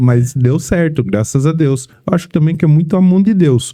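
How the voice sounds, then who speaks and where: The man's voice has a dark, mellow tone. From São Paulo state interior, Brazil. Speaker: vehicle protection sales team manager. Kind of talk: podcast interview.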